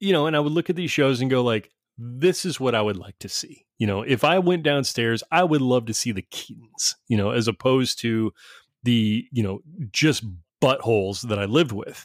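A man's unremarkable speaking voice at medium pitch, moderate pace and lively intonation, with a dry, close sound and no echo. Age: 40s. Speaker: podcast host. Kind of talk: casual chat.

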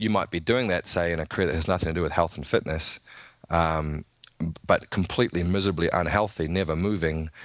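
Very fast and very deep, a man talks with a New Zealand accent. His intonation stays fairly even against a quiet background. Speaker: nutritionist and strength coach. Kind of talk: casual interview chat.

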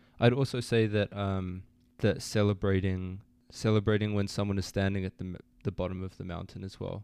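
Over a quiet background, a man with a fairly low voice talks at a fairly quick pace. His intonation stays flat and monotone while his loudness swings widely. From Australia. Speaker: university student. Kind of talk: interview.

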